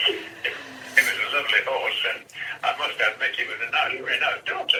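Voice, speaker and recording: A man's speech comes fairly quickly. Background noise is clearly audible. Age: 80s+. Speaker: WW2 veteran pilot. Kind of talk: anecdotal storytelling. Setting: phone line.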